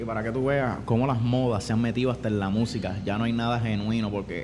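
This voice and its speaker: There's audible room echo as a man talks at a very fast pace, medium in pitch, with fairly even intonation. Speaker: pastor and musician. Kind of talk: casual chat. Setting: pizzeria. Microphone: far from the mic.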